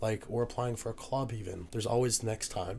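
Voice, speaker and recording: With a slight Newfoundland accent, a man speaks at a moderate pace in a somewhat breathy voice. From Newfoundland, Canada. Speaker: university student, rugby player. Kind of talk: casual podcast interview. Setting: podcast recording, drinking margaritas.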